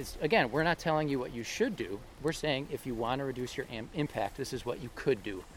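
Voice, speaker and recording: Speaking with hardly any pauses, a man has an unremarkable speaking voice with a fairly high pitch and lively intonation. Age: 40s. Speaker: podcast host. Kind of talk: casual chat. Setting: outdoors.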